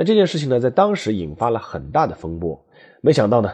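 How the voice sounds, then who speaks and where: The voice has a dark, mellow tone with vocal fry. It moves at a fairly quick pace against a quiet background. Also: man. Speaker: history podcast host, former sports journalist. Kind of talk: storytelling monologue. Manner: conversational, many filler particles.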